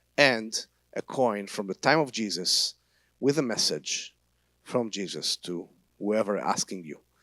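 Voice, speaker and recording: In a dry, close sound with no echo, a man speaks at a fairly slow pace with ordinary pitch variation. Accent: Israeli. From Israel. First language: Hebrew. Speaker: tour guide and Bible teacher. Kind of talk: church talk. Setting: church service. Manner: halting.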